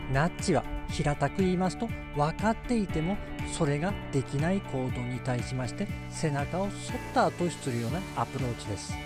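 A man with a Tsugaru accent talks at a moderate pace. Clear music plays in the background, and the sound is dry with no echo. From Tsugaru, Aomori. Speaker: behavioral economist. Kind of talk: educational talk to camera. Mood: calm, friendly, smiling. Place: open country. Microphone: phone near.

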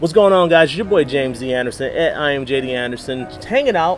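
The speech moves at a very fast pace. Clear music plays in the background. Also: man. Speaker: vlogger, interview host. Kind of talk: casual vlog chat. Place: street. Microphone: camera far.

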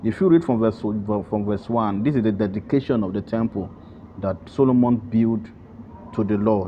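A man's plain, everyday voice, fairly low in pitch, with ordinary pitch variation at a moderate pace. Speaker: prayer leader. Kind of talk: scripture teaching and prayer opening.

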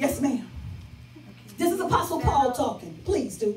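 A woman's high, animated voice with an American accent, fairly quick, over faint background music and audible room echo. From Chicago South Side; Chicago. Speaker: pastor. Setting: church with live congregation. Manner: rhythmic, repetitive exhortation with congregation echo; animated, emphatic and conversational. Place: church. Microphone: pa.

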